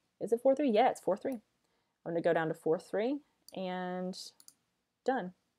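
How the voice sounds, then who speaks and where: In a very clean recording with a silent background, a woman with a dark, mellow tone speaks at a medium pitch with lively intonation. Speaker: wedding photographer. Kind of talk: tutorial. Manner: casual, hesitant with fillers.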